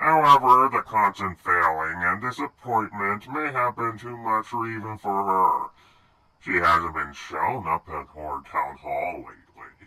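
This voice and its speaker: Using a put-on character voice, a man talks at a moderate pace with a medium pitch. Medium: machinima. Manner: sardonic, theatrical.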